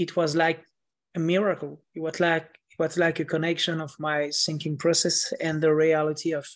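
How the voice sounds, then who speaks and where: A man's fairly high voice in a French accent, monotone and flat in intonation, at a moderate pace over a quiet background. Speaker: author. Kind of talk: interview.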